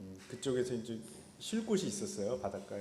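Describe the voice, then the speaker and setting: In a room with audible echo, a man at medium pitch speaks in a dark, mellow tone with very wide pitch swings. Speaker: professor and pastor giving a lecture. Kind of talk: lecture. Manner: hesitant with many fillers.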